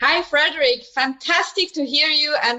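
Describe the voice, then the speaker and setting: A woman with a Swiss German accent speaks high at a moderate pace. Her voice is raised and projected. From Switzerland, German-speaking. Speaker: show jumper. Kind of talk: remote interview.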